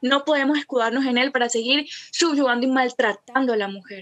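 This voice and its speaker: The woman's voice sits high, with ordinary pitch variation. She speaks at a fairly quick pace. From Colombia, Cartagena. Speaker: feminist theology content creator. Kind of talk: casual interview chat.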